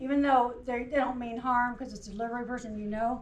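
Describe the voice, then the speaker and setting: Speaking in a Southern US accent, a woman with a high pitch talks at a fairly quick pace in a monotone, flat intonation, with audible room echo. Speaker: cybersecurity trainer. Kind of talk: workplace training presentation. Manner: short phrases paused for interpreter.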